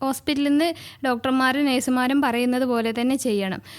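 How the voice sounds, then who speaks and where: A woman's fairly even intonation on a very clean recording with a silent background. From Lakshadweep. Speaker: anaesthesiologist. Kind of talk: radio interview answer. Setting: studio.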